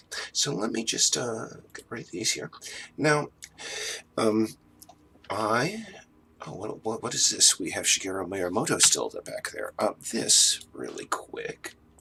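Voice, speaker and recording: A man at a fairly slow pace, long, frequent pauses, big swings in loudness and noticeable background noise. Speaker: indie game developer. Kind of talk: casual video update. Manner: deliberately low-key, not yelling; halting with many fillers.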